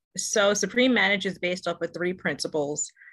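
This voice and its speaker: Against a quiet background, a woman speaks in a fairly low pitch with a bright, sharp tone. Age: 40s. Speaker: business coach. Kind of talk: casual interview chat. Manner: halting, with many fillers.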